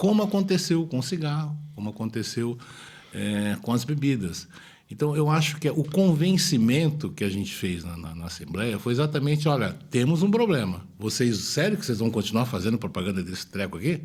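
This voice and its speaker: Somewhat breathy, a man speaks at a moderate pace in a medium pitch with very wide pitch swings. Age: 60s. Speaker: state politician. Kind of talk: interview. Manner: halting, repeats words.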